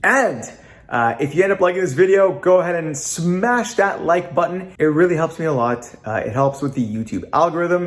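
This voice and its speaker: With very wide pitch swings, a man with a high pitch talks at a moderate pace. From Canada. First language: Italian. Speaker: YouTuber. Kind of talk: vlog to camera. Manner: casual with frequent fillers (uh).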